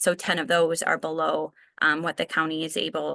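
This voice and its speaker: Over a quiet background, a woman's fairly low voice has a bright, sharp tone and vocal fry, with a dry, close sound and no echo. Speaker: county environmental official. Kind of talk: technical briefing. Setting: video call.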